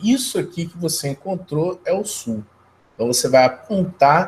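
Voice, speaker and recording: Very slowly, a man with a Brazilian accent speaks at a high pitch. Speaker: geography teacher. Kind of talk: lecture. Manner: casual conversational.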